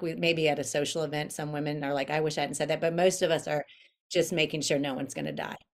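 Speaking at a very fast pace, a woman with an American accent uses a very deep, low pitch and fairly even intonation. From Florida, US. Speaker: author and inspirational speaker. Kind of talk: podcast interview.

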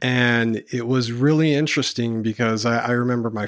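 Very clean, silent-background audio of a man speaking at medium pitch. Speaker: counseling intern and business owner. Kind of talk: casual chat.

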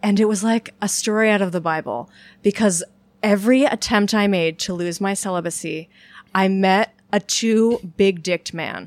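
Recorded very cleanly with a silent background and a dry, close sound with no echo, a woman speaks in a normal speaking voice at a medium pitch and moderate pace with ordinary pitch variation. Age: 30s. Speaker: humorist and author. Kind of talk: casual chat.

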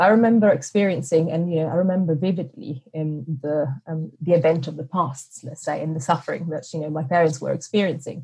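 Her pitch is very deep and low for a woman, with a dark, mellow tone and a somewhat breathy quality. She moves at a fairly quick pace with ordinary pitch variation. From Sicily, Italy. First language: Italian. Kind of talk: interview. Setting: remote call. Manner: hesitant, many fillers.

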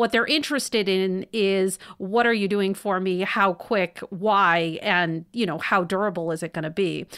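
A woman's medium-pitched voice, an ordinary speaking voice at a moderate pace, on a very clean recording with a silent background. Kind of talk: casual chat.

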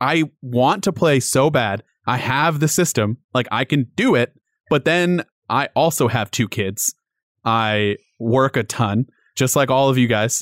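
A man's unremarkable speaking voice at medium pitch and a fairly slow pace, with ordinary pitch variation, dry, close sound with no echo and a very clean recording with a silent background. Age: 30s. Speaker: tech journalist. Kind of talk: casual chat.

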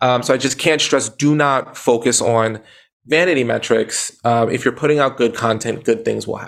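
A man with an American accent and an ordinary speaking voice, medium pitch, fairly even intonation and a moderate pace. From Brooklyn, New York. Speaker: motivational speaker and author. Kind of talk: interview conversation.

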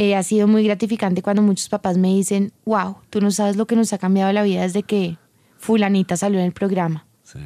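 On a very clean recording with a silent background and a dry, close sound with no echo, a woman with a dark, mellow, medium-pitched voice speaks at a fairly quick pace. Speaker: entrepreneur and speaker. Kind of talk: interview. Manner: animated.

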